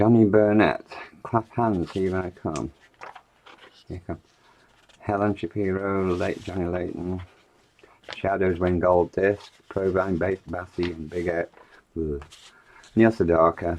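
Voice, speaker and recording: Speaking with an English accent, a man with a very deep, low pitch goes at a fairly slow pace with fairly even intonation and long, frequent pauses. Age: 60s. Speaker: online seller. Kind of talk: casual commentary while flicking through magazines. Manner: casual, chatty.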